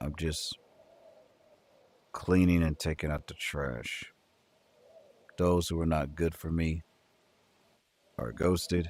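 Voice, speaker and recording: Very deep, low-pitched man with a sad tone, fairly even intonation and a fairly slow pace, on a very clean recording with a silent background. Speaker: livestreamer. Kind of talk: casual livestream chat reading comments. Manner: sounds sad, flat delivery.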